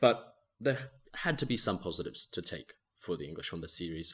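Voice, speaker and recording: Vocal fry marks this man's voice as he talks at a fairly quick pace with lively intonation. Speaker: cricket podcast co-host. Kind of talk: casual podcast chat.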